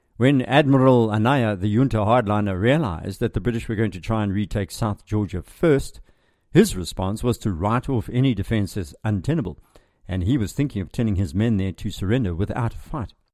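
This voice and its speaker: The recording is very clean, with a silent background. A man with an ordinary speaking voice talks at a fairly quick pace, fairly low in pitch with ordinary pitch variation. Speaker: podcast host and military historian. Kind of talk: history documentary narration. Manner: measured, formal, steady storytelling pace.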